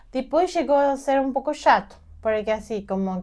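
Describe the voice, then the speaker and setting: A woman speaks with a Peruvian accent. Her intonation is lively and her pace moderate. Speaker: journalist, immigrant mother. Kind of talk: interview testimony.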